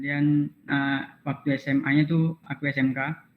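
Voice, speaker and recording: Spoken in an Aceh accent, the voice moves at a fairly slow pace with monotone, flat intonation. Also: man. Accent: Acehnese-accented Indonesian. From Indonesia, Aceh (Aceh Tamiang). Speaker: university student robotics club mentor. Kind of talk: online class lecture; casual self-introduction.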